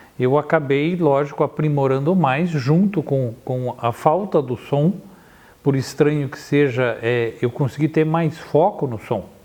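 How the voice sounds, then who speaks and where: This man speaks at a fairly slow pace. His pitch is fairly high, with ordinary pitch variation. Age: 60s. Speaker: photographer. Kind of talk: interview. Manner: halting.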